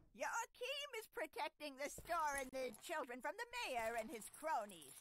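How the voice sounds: Putting on a character voice, a man speaks at a moderate pace with an extremely high pitch that swings very widely.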